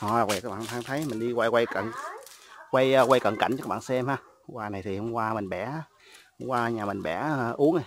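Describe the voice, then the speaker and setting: Amid light background noise, a man speaks with long, frequent pauses and ordinary pitch variation in a dry sound with no echo. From Mekong Delta, Vietnam (Vinh Long); Mekong Delta, Vietnam. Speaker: YouTuber showing a family coconut garden. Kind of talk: casual vlog walk-through. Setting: outdoors in a coconut garden. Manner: halting, many fillers. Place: garden. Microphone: phone near.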